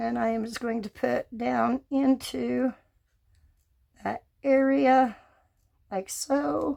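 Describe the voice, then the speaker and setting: Recorded with a dry, close sound and no echo, a woman speaks at a very slow pace, with long, frequent pauses. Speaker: resin crafter. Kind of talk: tutorial. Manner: casual, talking while working.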